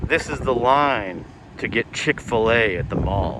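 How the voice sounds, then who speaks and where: Over noticeable background noise, a man with a slight Southern accent talks at a fairly slow pace. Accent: slight southern drawl. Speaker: travel vlogger. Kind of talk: walking tour vlog narration.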